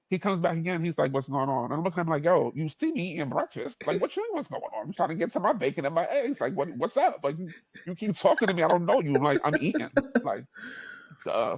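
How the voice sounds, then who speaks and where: Very fast and in a New York accent, a man speaks at a high pitch with very wide pitch swings. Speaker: podcast host. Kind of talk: casual chat. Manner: animated.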